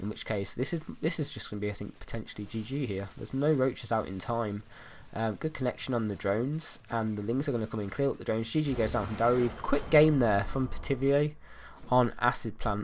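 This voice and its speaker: Talking at a very fast pace, a man keeps a medium pitch and ordinary pitch variation. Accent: British. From Britain. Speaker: esports caster. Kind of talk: live commentary. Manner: casual, hesitant with fillers.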